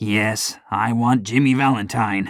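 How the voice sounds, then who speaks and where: A man puts on a raspy character voice at a medium pitch with fairly even intonation. The recording is very clean, with a silent background. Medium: read story.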